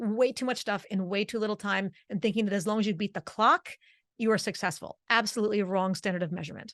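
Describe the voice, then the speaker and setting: Speaking with a New Jersey accent at a fairly quick pace, the voice has an animated tone and ordinary pitch variation. The sound is dry and close with no echo, over a quiet background. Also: woman. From New Jersey, Italian-American. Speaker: vocal coach. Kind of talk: interview. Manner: fast.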